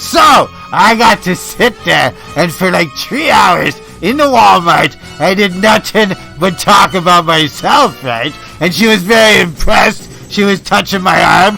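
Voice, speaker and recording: With clear music playing in the background, a man does a put-on character voice at a high pitch. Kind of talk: improv comedy radio monologue. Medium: role play. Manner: boastful, excitable.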